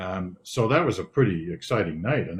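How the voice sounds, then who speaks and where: Somewhat breathy, a man talks at a fairly low pitch. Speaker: news anchor. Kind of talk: interview answer. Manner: calm.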